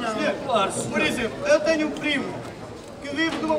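Noticeable background noise sits beneath speech that proceeds at a moderate rate. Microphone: camera far.

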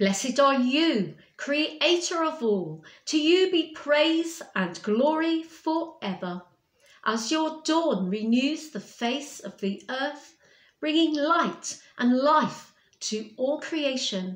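Audible room echo surrounds a woman's high voice as she speaks at a very slow pace. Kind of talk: liturgical prayer reading. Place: home room. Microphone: webcam.

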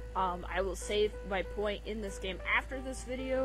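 A woman at a moderate pace, in dry sound with no echo, over clear music in the background. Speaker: gaming video host. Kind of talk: casual let's play commentary. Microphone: headset.

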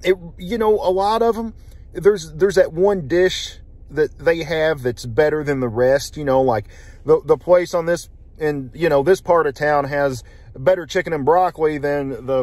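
A man at a moderate pace, in a dry sound with no echo. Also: ordinary pitch variation. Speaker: food reviewer. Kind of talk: casual vlog chat. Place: car. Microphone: phone near.

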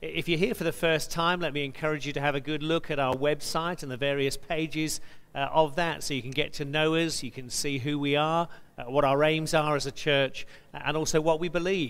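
The tempo of this man's speech is fairly quick. His pitch stays fairly even throughout. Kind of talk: service welcome and announcements. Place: church.

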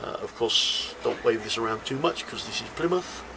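Noticeable background noise under a man talking at moderate speed. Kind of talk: comic magic tutorial. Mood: jokey, playful. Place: shop. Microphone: phone near.

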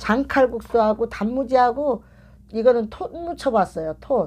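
A woman speaks at a fairly slow pace. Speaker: mukbang channel host. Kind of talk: casual vlog chat. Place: home room.

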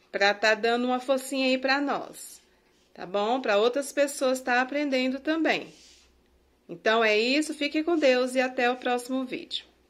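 A woman with a high pitch talks at a fairly slow pace, her pitch shifting in an ordinary way. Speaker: teacher. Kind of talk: tutorial.

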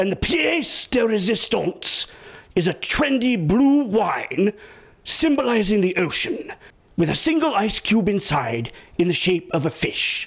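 In a cartoonish character voice, a man speaks high-pitched and fairly slowly. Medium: puppet show. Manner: wordy, fussy, explaining.

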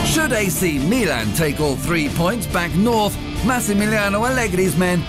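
Over music in the background, a man with a high pitch talks at a moderate pace, his voice making very wide pitch swings. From British. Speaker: voice actor. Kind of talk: sports TV commentary. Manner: loud, energetic.

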